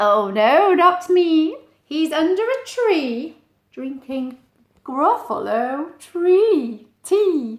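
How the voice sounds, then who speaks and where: A woman's put-on character voice, extremely high in pitch, with very wide pitch swings and a very slow pace. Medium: read story.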